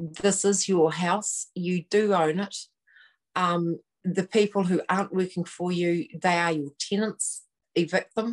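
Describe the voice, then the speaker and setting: A woman speaks at a fairly slow pace with a New Zealand accent and medium pitch. Her intonation stays fairly even against a quiet background. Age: 60s. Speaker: activist guest, at-home mum. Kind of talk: live online talk show. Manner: hesitant, many fillers.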